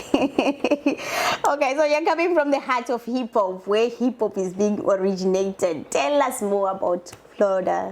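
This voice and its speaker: Speaking with an African accent, a woman at a medium pitch keeps a moderate pace with lively intonation and hardly any pauses, over noticeable background noise. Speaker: show host. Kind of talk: interview. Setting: studio. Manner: halting, repeats words.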